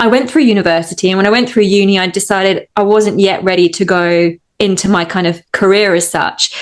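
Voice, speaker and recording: The speaker talks at a fairly quick pace in a slight Australian accent. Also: woman. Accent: English with a slight Australian twang. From England. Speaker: hypnotist. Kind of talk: interview.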